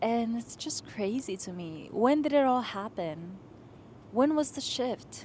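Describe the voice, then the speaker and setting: Speaking fairly slowly, a woman with a fairly high voice makes very wide pitch swings and big swings in loudness. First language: not English. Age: 20s. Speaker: lifestyle vlogger. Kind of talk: casual vlog monologue. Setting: outdoors on a rooftop. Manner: animated.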